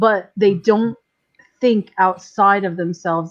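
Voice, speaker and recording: In an American accent, a woman with an ordinary speaking voice talks at a medium pitch and a fairly slow pace, with ordinary pitch variation. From New York. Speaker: live stream panelist. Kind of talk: casual chat.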